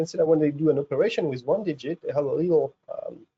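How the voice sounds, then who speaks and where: A man's voice with a French accent, dry and close with no echo. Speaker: research scientist, professor. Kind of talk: science webinar lecture. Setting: video webinar. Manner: halting, many fillers.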